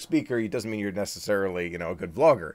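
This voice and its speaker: A man's fairly low-pitched voice on a very clean recording with a silent background. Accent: American. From US, Washington DC area. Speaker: Disney vlogger. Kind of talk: live stream Q&A, reading chat comments. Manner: fast; animated.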